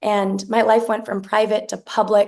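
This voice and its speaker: A woman speaks at a fairly high pitch with an American accent. Vocal fry runs through her voice. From Arizona (Tucson). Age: 20s. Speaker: congressional candidate. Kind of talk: campaign speech.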